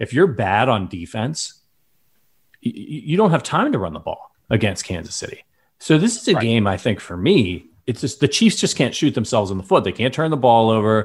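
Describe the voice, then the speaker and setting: A man with a Midwestern American accent speaks at medium pitch and a moderate pace, somewhat breathy, with very wide pitch swings. The recording is very clean, with a silent background. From US Midwest. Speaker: sports podcast host. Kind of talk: casual chat.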